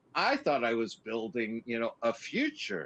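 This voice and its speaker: A man talks in a plain, everyday voice at a medium pitch and a moderate pace. His intonation is lively, and the sound is dry and close with no echo. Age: 60s. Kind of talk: casual chat.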